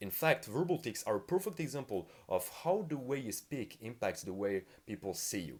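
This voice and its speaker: A man talks at a moderate pace with a non-native accent. His pitch swings very widely. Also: medium pitch for a man. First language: not English. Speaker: communication skills youtuber. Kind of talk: tutorial.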